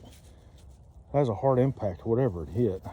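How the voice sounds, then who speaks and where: In a Southern US accent, a man speaks at a medium pitch with a dark, mellow tone. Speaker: metal detecting relic hunter. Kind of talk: casual outdoor vlog narration. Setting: outdoors. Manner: animated; whispering.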